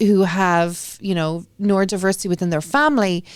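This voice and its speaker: At a moderate pace, a woman with an Irish accent speaks at a medium pitch. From Ireland. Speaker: school committee member and parent. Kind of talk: interview.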